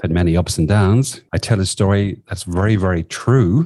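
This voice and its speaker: Dark and mellow, a man's very deep, low voice shows ordinary pitch variation. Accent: Irish. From southwest Ireland. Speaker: executive coach. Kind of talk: interview.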